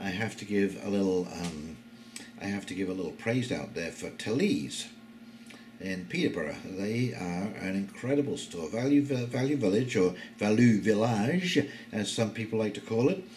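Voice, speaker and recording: At a moderate pace, a man talks at a medium pitch with lively intonation, and the room echo is audible. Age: 60s. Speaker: YouTube commentator. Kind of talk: casual monologue. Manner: hesitant, many fillers.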